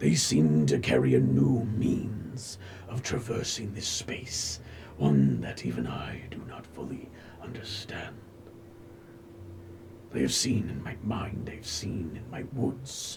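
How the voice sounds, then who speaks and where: A man's whispered, put-on character voice at a fairly slow pace with long, frequent pauses. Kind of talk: fantasy oracle speech. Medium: actual play. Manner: slow, cryptic, poetic.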